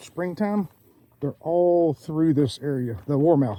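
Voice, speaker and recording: With a Southern US accent, the speaker has a dark, mellow tone and talks at a fairly slow pace. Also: man. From southeastern Georgia, US South. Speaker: outdoors vlogger. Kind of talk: casual walking vlog narration. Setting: outdoors on a trail. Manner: audible mouth breathing.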